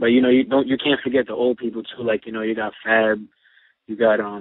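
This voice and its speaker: Speaking fairly quickly in a New York accent, a man keeps a medium pitch and a monotone, flat intonation. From Brooklyn, New York. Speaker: rapper and producer. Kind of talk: interview.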